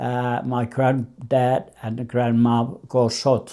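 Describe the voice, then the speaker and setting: Monotone and flat, a man at medium pitch speaks in a dark, mellow tone on a very clean recording with a silent background. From Finland. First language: Finnish. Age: 80s+. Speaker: immigrant grandfather. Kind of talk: life story interview. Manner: halting.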